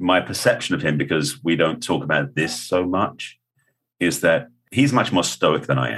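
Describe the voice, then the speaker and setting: A man speaks with a very deep, low pitch and vocal fry. His intonation is lively. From England. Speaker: author and spiritual counselor. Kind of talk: interview.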